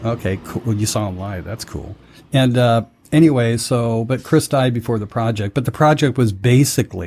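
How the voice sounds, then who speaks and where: A man speaks in a somewhat breathy voice at a moderate pace, with ordinary pitch variation. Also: medium pitch for a man. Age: 60s. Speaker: podcast host. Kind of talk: casual chat.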